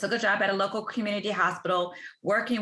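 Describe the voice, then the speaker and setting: In a Southern US accent, a woman speaks at a very fast pace with a bright, sharp tone and fairly even intonation. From US South, Tuscaloosa, Alabama. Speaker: ICU physician and career consultant. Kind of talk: podcast interview.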